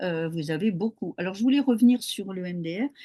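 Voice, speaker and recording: Recorded dry and close with no echo against a quiet background, a woman speaks at a fairly low pitch and moderate pace with a dark, mellow tone and lively intonation. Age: 70s. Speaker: hypnotherapist. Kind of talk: interview.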